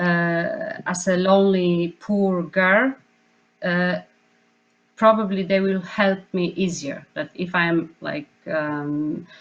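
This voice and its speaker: This woman talks very slowly in a non-native accent. Her pitch is fairly low and her intonation fairly even. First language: not English. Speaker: choreographer / dance artist. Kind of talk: panel discussion. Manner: halting, many fillers.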